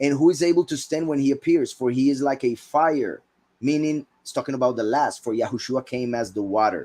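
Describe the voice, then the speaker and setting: Dark and mellow in tone, this man's voice sits at a fairly high pitch. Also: ordinary pitch variation, fairly quick pace. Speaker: bible teacher. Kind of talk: scripture teaching.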